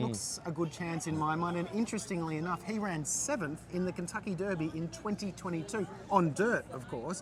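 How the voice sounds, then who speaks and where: Fairly high-pitched and fairly quick, a man talks over noticeable background noise. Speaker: racing presenter. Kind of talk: sports preview interview.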